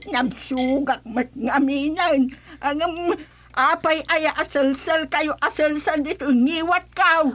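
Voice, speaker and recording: A put-on character voice at a very slow pace, its loudness very even throughout. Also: woman, high pitch for a woman. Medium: audio drama. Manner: scolding, quarrelsome.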